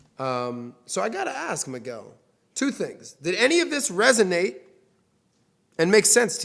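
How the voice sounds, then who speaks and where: A high-pitched male voice with very wide pitch swings, big shifts in loudness, and long, frequent pauses. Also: moderate pace. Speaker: finance show host. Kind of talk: casual money advice interview.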